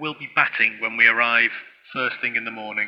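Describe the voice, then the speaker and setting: With a northern English accent, a man talks at a fairly quick pace. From Stoke-on-Trent, English Midlands. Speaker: cricket radio commentator. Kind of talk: live commentary.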